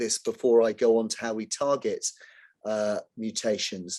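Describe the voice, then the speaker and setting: A man speaks with a British accent. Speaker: cancer specialist doctor. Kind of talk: online presentation with slides. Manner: hesitant, many fillers.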